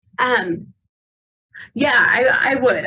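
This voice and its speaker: The voice moves at a fairly slow pace, with audible room echo. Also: woman. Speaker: tourism bureau director. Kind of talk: public meeting comment. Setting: call from her office.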